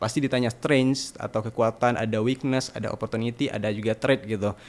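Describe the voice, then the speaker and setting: A man talks at a fairly quick pace with ordinary pitch variation. He has a slight Sumatran accent. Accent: slight Sumatran regional accent in Indonesian. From Sumatra, Indonesia. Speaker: university student. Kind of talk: podcast interview. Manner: hesitant, many fillers.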